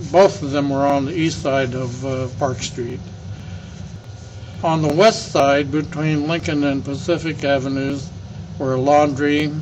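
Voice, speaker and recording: Speaking with an American accent, a man talks at a fairly slow pace with long, frequent pauses, his pitch fairly high and his intonation fairly even. The recording carries audible room echo and noticeable background noise. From California, Alameda. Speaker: elder recounting local history. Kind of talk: oral history interview. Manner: halting, with frequent fillers.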